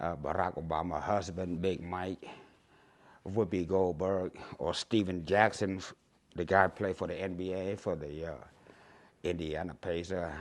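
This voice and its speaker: Very deep, low-pitched male voice in a Cambodian accent over a quiet background. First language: Khmer. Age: 60s. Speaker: YouTuber. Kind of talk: casual vlog monologue. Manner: halting, many fillers.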